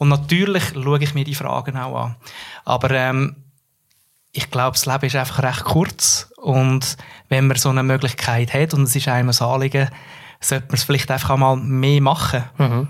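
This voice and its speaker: With a medium pitch, a man speaks in a monotone, flat intonation. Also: moderate pace. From central Switzerland, Nidwalden. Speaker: communications professional. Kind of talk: casual interview.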